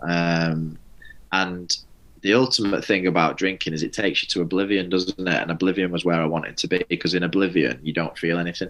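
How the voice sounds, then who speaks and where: A man speaks at a fairly quick pace with a very deep, low pitch. His tone is bright and sharp. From northern England, Manchester. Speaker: podcast host in addiction recovery. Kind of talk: personal recovery testimony in interview. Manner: hesitant, many fillers and restarts.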